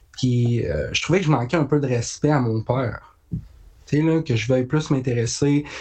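A man speaks at a fairly slow pace, somewhat breathy. His intonation is fairly even and his loudness very even. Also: medium pitch for a man. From Quebec, Haute-Mauricie (La Tuque). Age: young. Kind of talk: casual interview.

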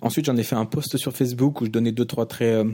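A man speaks at a very fast pace, his pitch in the medium range. His tone is dark and mellow, with ordinary pitch variation. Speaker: podcast host. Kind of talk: casual solo monologue. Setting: hotel room. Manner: quiet, not loud; halting, many repetitions.

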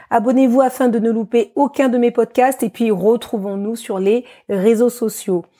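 A dark, mellow tone with fairly even intonation comes through at a fairly slow pace on a very clean recording with a silent background. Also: woman, fairly high pitch for a woman. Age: 40s. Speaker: fitness coach and podcast host. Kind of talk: podcast monologue introduction.

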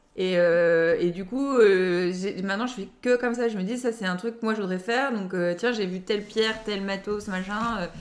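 Speaking at a moderate pace with hardly any pauses, a woman keeps a fairly even intonation. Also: medium pitch for a woman. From Lille area, northern France. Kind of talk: casual interview. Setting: at own home. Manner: hesitant, laughs often.

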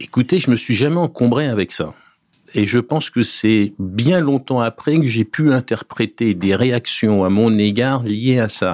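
A man at medium pitch with ordinary variation, very even loudness and a fairly slow pace, on a very clean recording with a silent background. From France, Paris region (Essonne). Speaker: property developer executive. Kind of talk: interview. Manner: hesitant, many fillers.

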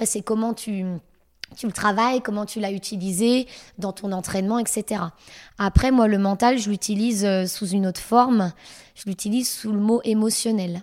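A woman at a fairly high pitch keeps a moderate pace and fairly even intonation, her loudness swinging widely between long, frequent pauses on a very clean recording with a silent background. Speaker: fitness coach. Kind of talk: interview.

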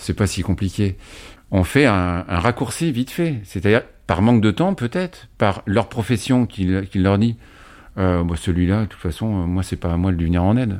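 A man speaks at a moderate pace with a fairly low pitch and ordinary pitch variation. He has a plain, everyday voice, and the recording is very clean with a silent background. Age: 50s. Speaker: father-carer recovered from schizophrenia. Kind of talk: interview testimony.

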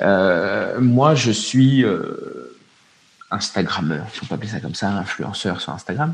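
A man's fairly low voice at a very slow pace, with lively intonation, big swings in loudness and noticeable background noise. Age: 30s. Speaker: parenting influencer and father. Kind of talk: casual interview. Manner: halting, repeats words.

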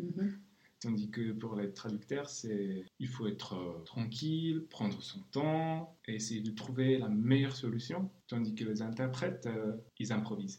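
Somewhat breathy and dark, mellow in tone, a man with a Czech accent speaks at a fairly slow pace. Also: medium pitch for a man, lively intonation. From Czech Republic. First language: Czech (speaking French). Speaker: translator. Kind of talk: interview.

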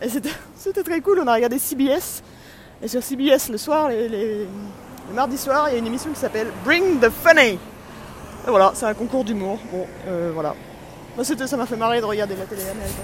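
Against noticeable background noise, a woman with a fairly high pitch speaks at a moderate pace in an animated tone with lively intonation and long, frequent pauses. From France. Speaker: vlogger and amateur comedian. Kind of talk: travel vlog monologue.

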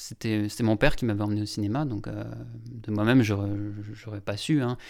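A man speaks fairly slowly in a very clean recording with a silent background. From Lorraine, France (Longwy area). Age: young. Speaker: documentary filmmaker. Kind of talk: interview. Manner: halting, many repetitions and hesitations.

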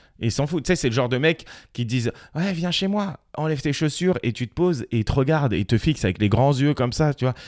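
A man speaks at a very fast pace with lively intonation. The sound is dry and close with no echo. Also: fairly high pitch for a man, very clean recording, silent background. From Paris. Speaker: comedian. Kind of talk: casual chat.

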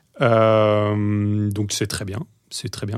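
A man's fairly low-pitched speech sits on a very clean recording with a silent background. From western France, Deux-Sèvres and Bordeaux. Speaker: tech product executive. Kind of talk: podcast interview. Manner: hesitant with many fillers and repetitions.

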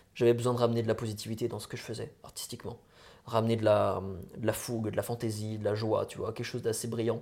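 Dark and mellow in tone, a man talks at a very fast pace with big swings in loudness. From France, Franche-Comté. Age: 20s. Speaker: musician. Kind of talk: interview. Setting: late-night recording.

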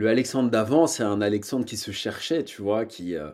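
A man speaks at a moderate pace in a plain, everyday voice, pitched fairly low with ordinary variation. The recording is very clean, with a silent background. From France, Paris. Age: 30s. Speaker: real estate investor and entrepreneur. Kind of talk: interview.

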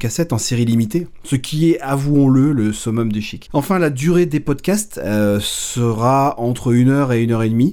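A man speaks with hardly any pauses, his tone dark and mellow. His medium-pitched voice carries lively intonation. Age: 40s. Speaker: music podcast host. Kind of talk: podcast monologue.

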